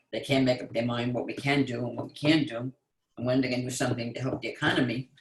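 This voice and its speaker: A man talks at a fairly quick pace and medium pitch in a somewhat breathy voice. His intonation is monotone and flat. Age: 80s+. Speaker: call participant. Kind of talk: casual chat.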